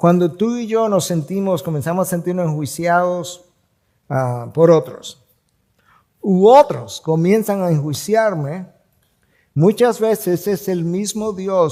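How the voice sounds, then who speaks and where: At a fairly slow pace, a man talks in a dark, mellow tone with a high pitch. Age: 60s. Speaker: pastor. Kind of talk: sermon.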